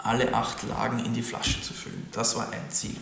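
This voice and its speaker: A man speaks at a moderate tempo, his voice set among noticeable background noise and audible room echo. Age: young. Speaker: winemaker. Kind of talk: interview.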